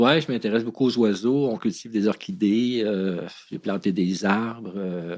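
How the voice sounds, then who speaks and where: A man with a plain, everyday voice, fairly low in pitch with ordinary pitch variation, at a fairly slow pace, in a very clean recording with a silent background. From Quebec, Montreal. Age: 60s. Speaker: former criminal. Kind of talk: interview testimony.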